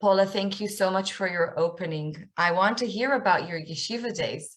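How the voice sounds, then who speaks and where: With an Israeli accent, a woman speaks at a medium pitch. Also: ordinary pitch variation, moderate pace. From Israel, north Tel Aviv. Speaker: author and speaker. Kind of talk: lecture.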